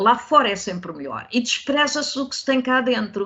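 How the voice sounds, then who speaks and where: Lively, fairly slow female speech pitched high. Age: 70s. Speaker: historical novelist. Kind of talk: interview. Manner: halting, many fillers.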